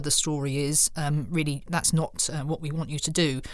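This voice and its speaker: A woman's very deep, low voice at a fairly quick pace, on a very clean recording with a silent background. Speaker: fraud prevention director. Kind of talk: interview.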